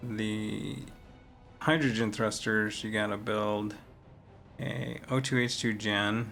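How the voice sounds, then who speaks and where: With music in the background, a man with an American accent and a fairly low voice speaks at a very slow pace, using ordinary pitch variation and long, frequent pauses. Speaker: gaming streamer. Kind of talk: casual gameplay commentary. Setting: poor-quality home recording.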